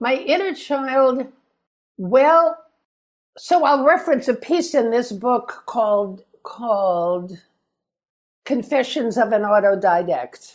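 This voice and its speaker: The speaker moves at a very slow pace with long, frequent pauses. Pitch swings are very wide while loudness stays very even. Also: woman, high pitch for a woman. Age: 80s+. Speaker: author. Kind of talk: interview. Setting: video call.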